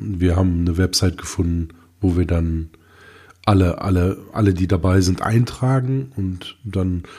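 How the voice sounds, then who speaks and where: On a very clean recording with a silent background, a man with a very deep, low pitch speaks slowly and somewhat breathily, with fairly even intonation and a dark, mellow tone. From Germany. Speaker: tech podcast co-host. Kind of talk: casual chat.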